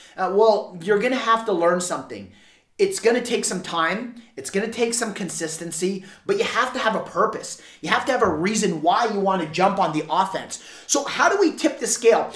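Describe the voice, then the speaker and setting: A man with a high pitch speaks at a moderate pace in an animated tone, his pitch variation ordinary. Room echo is audible, and background noise is noticeable. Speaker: door-to-door sales trainer. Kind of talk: sales training talk to camera. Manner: halting, repeats words.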